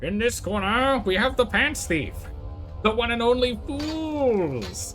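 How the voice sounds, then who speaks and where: Someone does a put-on character voice at a fairly high pitch and a fairly slow pace. Clear music plays in the background. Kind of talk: theatrical announcer patter.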